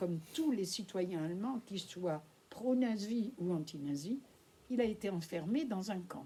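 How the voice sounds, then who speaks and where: At a very slow pace, a woman's dark, mellow, somewhat breathy voice carries lively intonation. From France. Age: 80s+. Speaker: Holocaust witness speaking at schools. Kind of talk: testimony to school pupils. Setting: school classroom with pupils.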